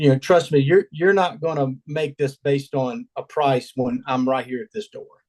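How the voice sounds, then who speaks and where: This man has an ordinary speaking voice, fairly high in pitch, talking at a moderate pace in a dry, close sound with no echo. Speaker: awning salesperson. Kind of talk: casual chat.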